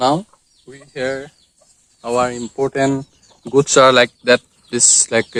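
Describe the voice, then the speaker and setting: A man speaks in an Assam accent at a fairly slow pace. He takes long, frequent pauses. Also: dry, close sound with no echo. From Assam, India. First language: Assamese. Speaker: cooking video vlogger. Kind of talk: cooking tutorial. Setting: outdoors at a bathing place. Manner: halting.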